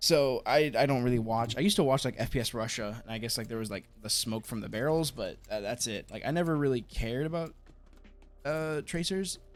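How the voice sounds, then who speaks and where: Music plays in the background. A man talks at a medium pitch with ordinary pitch variation. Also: fairly quick pace. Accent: American. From United States. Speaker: gaming YouTuber. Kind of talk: live gameplay commentary. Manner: stuttering, repeating words; casual, filler-heavy.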